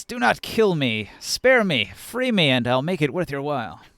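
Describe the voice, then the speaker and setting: A man uses a put-on character voice at a fairly high pitch, with very wide pitch swings. Hissing is heard, and he keeps a moderate pace. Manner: hissing, pleading.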